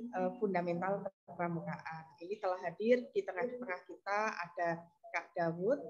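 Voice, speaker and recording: Soft-spoken, a woman talks at a fairly slow pace. Her voice sits at a medium pitch with ordinary pitch variation. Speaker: scout trainer. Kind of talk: online training session. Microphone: too quiet.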